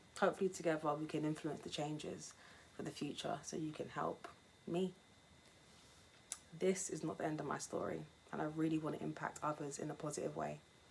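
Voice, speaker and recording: The speaker uses fairly even intonation and vocal fry at a fairly quick pace, with long, frequent pauses. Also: woman, very deep, low pitch for a woman. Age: 20s. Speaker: cancer patient. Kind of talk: testimony. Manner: scripted reading.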